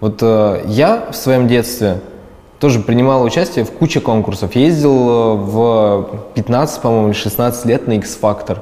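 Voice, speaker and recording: With an ordinary speaking voice, a man talks fairly slowly at a medium pitch, with ordinary pitch variation and very even loudness. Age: 20s. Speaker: video blogger and producer. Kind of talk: interview.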